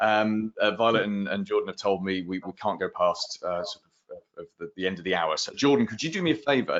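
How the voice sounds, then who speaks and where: Speaking fairly quickly, a man has a British accent. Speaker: marketing consultant. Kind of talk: round table advice session. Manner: fast; animated.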